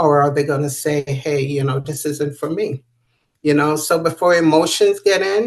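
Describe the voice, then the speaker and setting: Ordinary pitch variation in a woman's very deep, low-pitched voice. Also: moderate pace. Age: 60s. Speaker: author and patient sharing her illness. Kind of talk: interview testimony.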